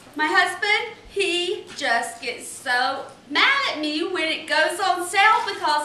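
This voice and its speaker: A woman's raised, projected voice with an American accent, very slow pace, audible room echo and noticeable background noise. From North Carolina. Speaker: home cook, contest entrant. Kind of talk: cooking demonstration. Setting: home kitchen. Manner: animated.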